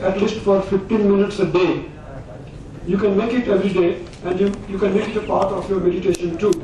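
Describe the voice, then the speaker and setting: A man speaks at a high pitch in a monotone, flat intonation and a fairly quick pace. Room echo is audible, and there is noticeable background noise. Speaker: alternative medicine organisation president. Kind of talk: conference speech. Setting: conference hall.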